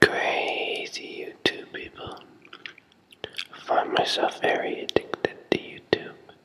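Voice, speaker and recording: Very slow whispering with long, frequent pauses, against noticeable background noise. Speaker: music technology university student. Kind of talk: casual whispered talk to camera. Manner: whispered.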